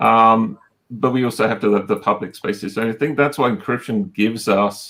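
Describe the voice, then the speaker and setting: A man with a British accent and a medium pitch speaks in a bright, sharp tone with fairly even intonation on a very clean recording with a silent background. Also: moderate pace. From Britain. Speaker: technology executive, panelist. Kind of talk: panel discussion. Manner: halting, many fillers.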